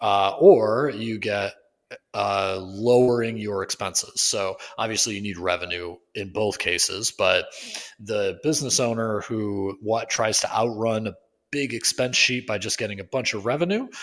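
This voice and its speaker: A man speaks at a moderate pace with a fairly low pitch, ordinary pitch variation and a plain, everyday voice. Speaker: podcast co-host, physiotherapy clinic owner. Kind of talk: casual podcast discussion. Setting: public library. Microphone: echoey room sound.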